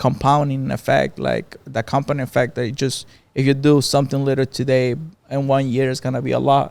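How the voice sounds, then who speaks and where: A man with a Mexican accent talks at a moderate pace and medium pitch, his intonation flat and monotone. The recording is very clean, with a silent background. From Mexico. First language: Spanish. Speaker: barbershop owner. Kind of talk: podcast interview.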